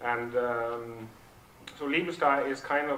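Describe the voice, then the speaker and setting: A man speaks at a medium pitch with fairly even intonation. Noticeable background noise and audible room echo fill the recording. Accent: Norwegian. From southern Norway. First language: Norwegian. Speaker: project founder, speaker. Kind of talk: conference talk. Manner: halting, many fillers.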